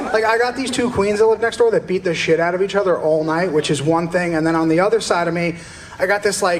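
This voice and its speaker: Someone with an East Coast US accent speaks at a very fast pace over noticeable background noise. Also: man. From US East Coast. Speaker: stand-up comedian. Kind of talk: stand-up. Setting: stage with audience.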